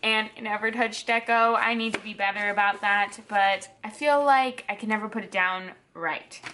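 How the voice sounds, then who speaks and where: A woman at a fairly high pitch and moderate pace, with fairly even intonation over noticeable background noise. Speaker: planner YouTuber. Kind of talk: tutorial voiceover. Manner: casual, hesitant with ums.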